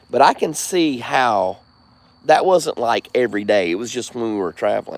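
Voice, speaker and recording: A man talks with a Southern US accent. His pace is moderate and his intonation lively. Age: 40s. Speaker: live streamer. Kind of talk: casual chat.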